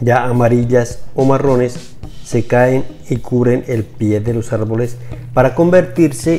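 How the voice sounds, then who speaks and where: Over music in the background, a man of medium pitch speaks at a fairly slow pace. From Colombia. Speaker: retiree vlogger. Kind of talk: casual talk to camera.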